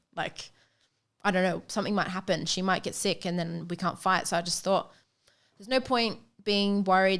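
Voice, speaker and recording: Fairly quick and with fairly even intonation, a medium-pitched woman speaks in an Australian accent. The recording is very clean, with a silent background. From Australia, Queensland, Sunshine Coast. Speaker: professional boxer. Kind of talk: casual chat.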